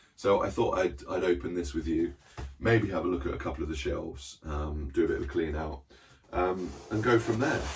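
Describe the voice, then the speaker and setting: A man with a British accent speaks at a very deep, low pitch and a fairly quick pace. His intonation is lively, with noticeable background noise behind him. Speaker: book collector vlogger. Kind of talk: casual vlog chat. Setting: small cupboard reading room. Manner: hesitant, many fillers.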